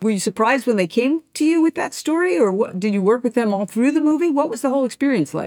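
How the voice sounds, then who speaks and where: A woman's high voice with an American accent, very fast and almost pause-free, with very wide pitch swings and a dry, close sound with no echo. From New York. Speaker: podcast host. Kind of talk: interview.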